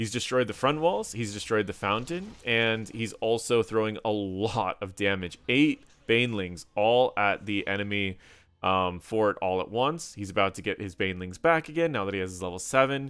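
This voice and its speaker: Speaking at a fairly low pitch, a man uses ordinary pitch variation. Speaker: gaming content creator. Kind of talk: gameplay commentary. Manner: fast.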